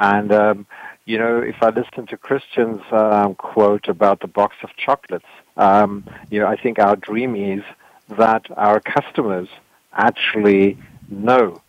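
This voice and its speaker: A man talks in a fairly low pitch with monotone, flat intonation. His long, frequent pauses sit in a dry, close sound with no echo. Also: fairly slow pace. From South Africa. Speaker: software company partnerships manager. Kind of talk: panel discussion.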